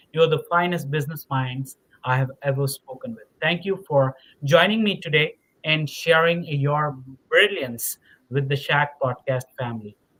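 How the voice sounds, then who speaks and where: A man's fairly high voice with a bright, sharp tone at a moderate pace. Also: ordinary pitch variation. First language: not English. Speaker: podcast host. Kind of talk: interview podcast wrap-up. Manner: halting, many fillers and repetitions.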